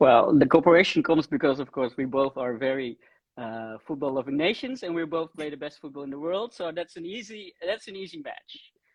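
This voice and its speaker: The speaker has a Dutch accent. The pace is fairly quick. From Netherlands. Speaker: empowerment consultant. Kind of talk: live stream conversation. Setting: live stream. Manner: hesitant, many fillers.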